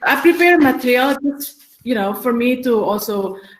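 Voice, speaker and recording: A woman's somewhat breathy voice. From Indonesia. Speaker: ambassador, diplomat. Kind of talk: webinar presentation. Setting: video call. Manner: halting.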